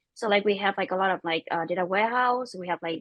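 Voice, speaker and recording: A woman speaks with a non-native accent in a dry, close recording with no echo. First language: not English. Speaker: tech startup co-founder. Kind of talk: panel discussion. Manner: halting, many fillers.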